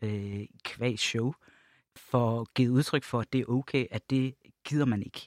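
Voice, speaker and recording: A man's normal speaking voice, medium in pitch, at a fairly slow pace with fairly even intonation, on a very clean recording with a silent background and a dry, close sound with no echo. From Jutland, Denmark. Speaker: LGBT+ organisation project leader. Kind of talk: podcast panel discussion. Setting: studio.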